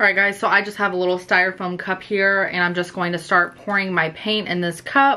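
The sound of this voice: A woman with a bright, sharp tone speaks at fairly low pitch and keeps her intonation fairly even.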